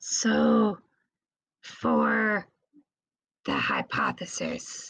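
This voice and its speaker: This is a put-on character voice. It sounds raspy. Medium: actual play.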